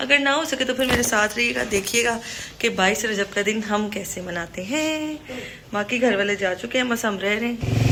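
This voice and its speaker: This woman has a fairly high pitch and lively intonation at a moderate pace. Background noise is noticeable. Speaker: vlogger. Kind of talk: casual vlog narration.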